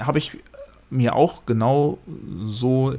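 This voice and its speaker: This man's voice sits at a medium pitch. His intonation is fairly even. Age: 50s. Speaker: podcast host and music reviewer. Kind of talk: casual chat.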